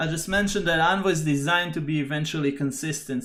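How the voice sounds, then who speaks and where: A plain, everyday voice with fairly even intonation on a very clean recording with a silent background. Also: man. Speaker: software engineer hosting tech live stream. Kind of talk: technical tutorial live stream. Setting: live stream.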